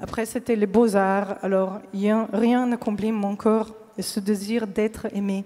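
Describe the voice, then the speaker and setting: The speaker talks at a very slow pace in a monotone, flat intonation with a slight Slovenian accent, with noticeable background noise. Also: woman, fairly high pitch for a woman. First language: Slovene (speaking French). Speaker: pianist giving a faith testimony. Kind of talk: testimony. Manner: halting, many hesitations.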